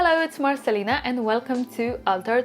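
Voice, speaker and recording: A woman with a Polish accent, high-pitched and lively in intonation, at a moderate pace over noticeable background noise. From Poland. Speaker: YouTuber. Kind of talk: vlog talk to camera.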